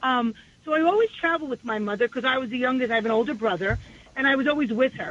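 At a very fast pace, a woman with a New York accent talks in a high voice with ordinary pitch variation. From New York City, Far Rockaway, Queens. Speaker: state legislator. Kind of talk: radio interview.

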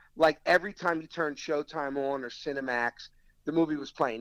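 Recorded with dry, close sound and no echo, a man with a Philadelphia accent talks in a fairly high pitch with ordinary pitch variation. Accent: mild South Philadelphia. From US Northeast, South Philadelphia. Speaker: restaurant owner and actor. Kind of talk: casual interview. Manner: repeats words, fillers like you know.

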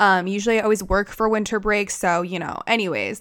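An ordinary speaking voice moves at a moderate pace with fairly even intonation in a very clean recording with a silent background. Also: woman. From United States. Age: 20s. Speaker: podcast host. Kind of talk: casual monologue. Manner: casual, chatty with filler words.

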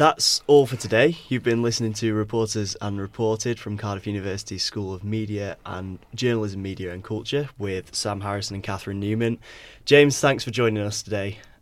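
A man with an ordinary speaking voice talks at a fairly quick pace with hardly any pauses, fairly even intonation, fairly low pitch and big swings in loudness, on a very clean recording with a silent background. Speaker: student podcast host. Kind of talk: interview questions.

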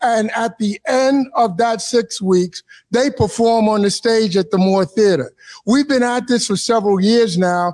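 Speaking at a fairly slow pace, a man with a New York accent has an extremely high pitch. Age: 70s. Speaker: arts board member. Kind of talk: interview. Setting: stage with audience.

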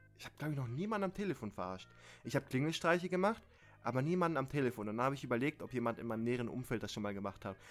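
Music plays behind a man talking very fast at a medium pitch. His tone is animated and his intonation lively. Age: 20s. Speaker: podcast co-host. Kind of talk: casual chat. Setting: remote call with slight delay. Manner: halting.

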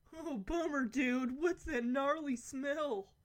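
A woman puts on a character voice, speaking at a high pitch and fairly slow pace. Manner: laid-back, playful.

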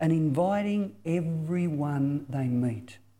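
On a very clean recording with a silent background, a man with an Australian accent speaks in a fairly high voice with a dark, mellow tone. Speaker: mission speaker, former youth pastor. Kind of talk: sermon.

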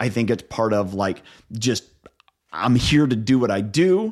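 A man with a Midwestern American accent, medium pitch and a fairly slow pace. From Northeast Ohio. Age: 40s. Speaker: leadership coach and entrepreneur. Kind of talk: interview conversation.

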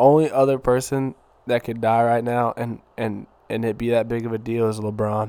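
At a moderate pace, a man talks in a medium pitch with monotone, flat intonation. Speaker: podcast co-host. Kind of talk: casual chat.

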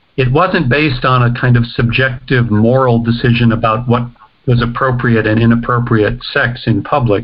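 A man with an American accent speaks at a moderate pace in a medium, somewhat breathy voice. His intonation is fairly even and his loudness very even. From United States. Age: 60s. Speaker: professor. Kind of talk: interview.

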